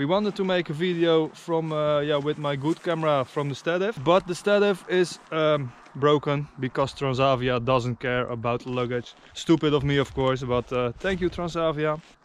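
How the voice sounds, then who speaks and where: A man talks at a moderate pace with hardly any pauses, ordinary pitch variation, and a dry sound with no echo. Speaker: travel vlogger. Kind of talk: casual vlog chat. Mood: relaxed, joking. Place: open country. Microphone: phone near.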